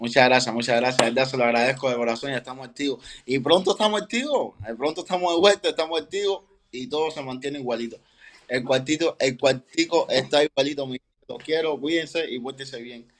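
Talking at a very fast pace, a man with a fairly high pitch shows ordinary pitch variation and big swings in loudness. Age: 20s. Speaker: professional boxer. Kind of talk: interview.

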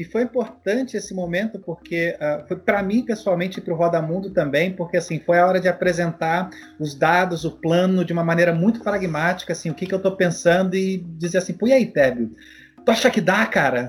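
At a fairly quick pace, a man speaks in a high pitch that shows ordinary variation. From Brazil. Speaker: podcast host and long-distance cycle traveller. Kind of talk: casual interview conversation.

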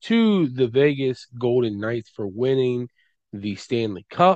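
Here a man talks in a normal speaking voice at a medium pitch. The background is quiet. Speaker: podcast host. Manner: casual, chatty, with frequent fillers and restarts.

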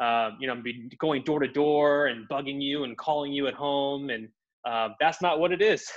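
With an American accent, a man talks at a moderate pace in a fairly high pitch, showing ordinary pitch variation. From US, Indian-heritage household. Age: 30s. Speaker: sales leader. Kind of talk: interview. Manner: halting, many fillers and repeats.

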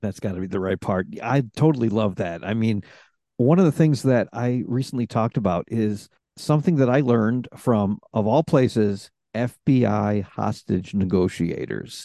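A man with a dark, mellow tone and medium pitch talks at a moderate pace with ordinary pitch variation, the sound dry and close with no echo against a quiet background. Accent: American. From Rochester, New York. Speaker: podcast host and coach. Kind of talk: casual interview conversation. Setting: remote recording call. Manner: extroverted, chatty.

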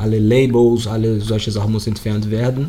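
A man with a Portuguese accent talks at a moderate pace and medium pitch. Audible room echo surrounds his voice. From Brazil, Rio de Janeiro. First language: Portuguese (speaking German). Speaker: yoga teacher and plastic recycling project founder. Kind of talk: interview. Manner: halting, searching for words.

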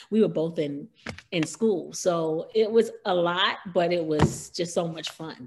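Speaking at a fairly slow pace with an American accent, this is an ordinary speaking voice. The pitch varies in an ordinary way. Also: woman, fairly low pitch for a woman. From New York City, Harlem. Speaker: R&B singer, former group member. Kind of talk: casual interview about career.

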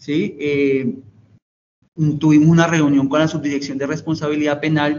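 At a moderate pace, a man talks in a fairly high voice. His intonation stays fairly even. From Colombia, Tolima (Ibagué). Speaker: director of a youth detention and rehabilitation center. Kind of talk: interview. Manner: halting, many fillers and repeats; formal.

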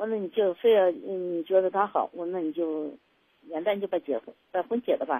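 At a fairly quick pace, an ordinary speaking voice runs with ordinary pitch variation. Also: woman, medium pitch for a woman. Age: 60s. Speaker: radio call-in caller. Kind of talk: personal story on call-in show. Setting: phone call. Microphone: too quiet at first.

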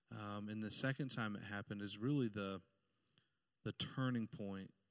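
A man with an American accent speaks at a moderate pace. His pitch is fairly low. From Indiana. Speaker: pastor. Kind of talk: testimony. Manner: halting.

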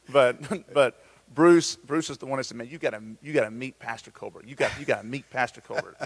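Fairly high-pitched for a man, an unremarkable speaking voice moves at a fairly quick pace with ordinary pitch variation. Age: 40s. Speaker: pastor. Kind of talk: casual chat. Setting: church campus, live stream.

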